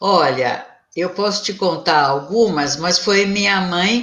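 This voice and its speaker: Speaking very slowly, a woman keeps her voice at a medium pitch. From Brazil, São Paulo city. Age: 70s. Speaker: spiritist medium and psychologist. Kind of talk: interview.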